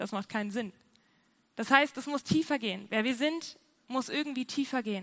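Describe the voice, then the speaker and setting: Animated and high-pitched, a woman talks at a moderate pace with ordinary pitch variation. Long pauses come often. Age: 20s. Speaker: youth pastor. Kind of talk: sermon.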